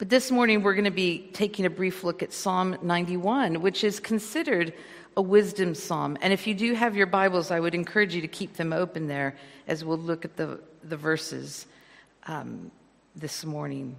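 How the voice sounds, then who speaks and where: A woman with an American accent speaks in a plain, everyday voice at a medium pitch and a moderate pace, with ordinary pitch variation. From California, US. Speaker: guest preacher. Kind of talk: sermon. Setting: church.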